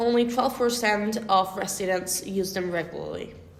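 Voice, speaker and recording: A woman with a Spanish accent speaks at a fairly slow pace and a medium pitch with ordinary pitch variation, with audible room echo and noticeable background noise. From Argentina, Buenos Aires area. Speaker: environmental engineer. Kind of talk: casual chat.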